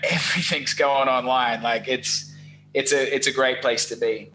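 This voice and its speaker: With an Australian accent, a man talks at a medium pitch. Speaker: SEO business owner. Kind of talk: podcast interview. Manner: casual, animated.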